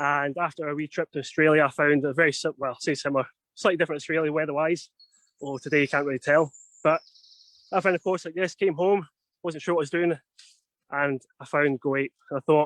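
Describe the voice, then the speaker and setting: A man with a Scottish accent talks at a very fast pace with long, frequent pauses, fairly high pitch and fairly even intonation, in a dry, close sound with no echo. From Scotland. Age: 30s. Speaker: outdoor adventure instructor. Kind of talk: live virtual tour talk. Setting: outdoors in a forest on a video stream.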